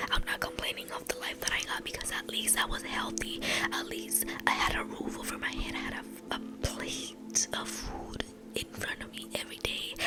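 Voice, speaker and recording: The woman is whispering. She keeps a moderate pace despite noticeable background noise. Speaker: ASMR creator. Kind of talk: casual whispered rambling to camera about her life. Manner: soft, whispered, reflective.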